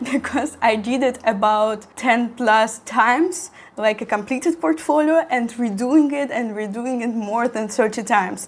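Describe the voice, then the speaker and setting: A woman with a Russian accent speaks at a fairly high pitch with ordinary pitch variation and hardly any pauses. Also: fairly slow pace. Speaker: architecture student and content creator. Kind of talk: tutorial. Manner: halting.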